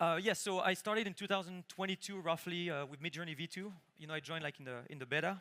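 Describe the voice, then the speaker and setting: A man with a strong French accent speaks very fast at a high pitch. His tone is bright and sharp, with ordinary pitch variation. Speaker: conference speaker, engineer. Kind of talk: conference talk, live demo. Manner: casual, many fillers.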